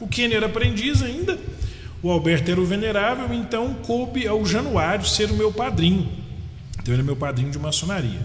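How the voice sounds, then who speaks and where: Amid noticeable background noise and audible room echo, a man with a high pitch speaks fairly quickly, his pitch swinging very widely. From Minas Gerais, Brazil (Araxá, then Paracatu). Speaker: Freemason leader and psychiatrist. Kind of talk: interview. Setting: live-streamed video podcast.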